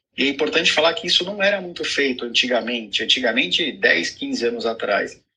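A man talking at a fairly quick pace with hardly any pauses. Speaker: urologist. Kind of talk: live video chat.

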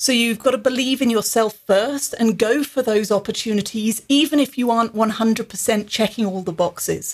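Somewhat breathy and fairly high in pitch, a woman speaks at a fairly quick pace with hardly any pauses, fairly even intonation and very even loudness. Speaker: business author and executive development founder. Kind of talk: casual interview chat.

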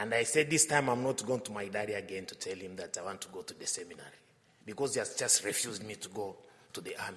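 Talking very fast with a Tanzanian accent, a man's loudness swings widely over noticeable background noise. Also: medium pitch for a man, ordinary pitch variation. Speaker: visiting missionary priest. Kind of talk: homily with personal anecdotes. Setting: church. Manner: humorous, warm.

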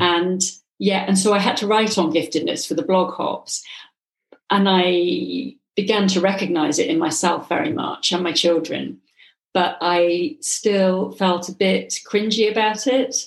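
With an ordinary speaking voice, a woman speaks at a medium pitch and a fairly slow pace, with ordinary pitch variation. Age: 50s. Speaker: hypnotherapist and coach. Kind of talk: interview.

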